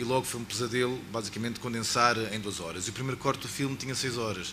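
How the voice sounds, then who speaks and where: Spoken very fast in a European Portuguese accent, the voice shows ordinary pitch variation. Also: man. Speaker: filmmaker. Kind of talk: panel talk at film launch.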